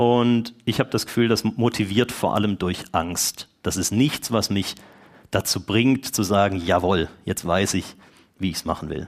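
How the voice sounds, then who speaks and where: A man with an unremarkable speaking voice, a moderate pace and ordinary pitch variation. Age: 40s. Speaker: lay preacher. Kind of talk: sermon.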